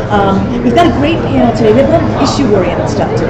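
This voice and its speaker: The speech runs at a very fast pace over loud background noise. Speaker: event organizer. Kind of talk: casual interview. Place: hall.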